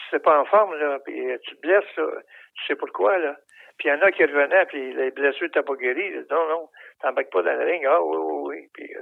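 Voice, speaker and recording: Big swings in loudness mark this man's speech, delivered at a moderate pace. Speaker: retired professional wrestler. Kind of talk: interview.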